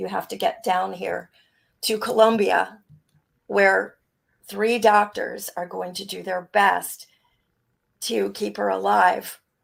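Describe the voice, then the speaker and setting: A woman in a raspy, put-on character voice speaks at a fairly slow pace. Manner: frightened, grave.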